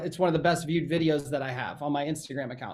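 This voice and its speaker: The tone of this man's speech is animated. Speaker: real estate coach. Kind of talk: webinar presentation. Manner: fast.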